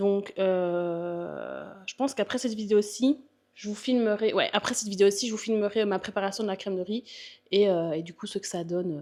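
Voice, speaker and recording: A woman at a moderate pace with a Belgian accent, medium in pitch and dark and mellow in tone, with ordinary pitch variation and big swings in loudness. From Belgium. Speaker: bodybuilder and fitness coach. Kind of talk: casual vlog Q&A. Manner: hesitant, many fillers.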